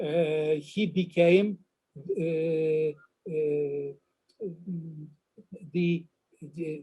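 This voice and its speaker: This man's voice has a dark, mellow tone and a fairly high pitch. His intonation stays fairly even. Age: 70s. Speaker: professor. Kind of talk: online talk Q&A. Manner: halting.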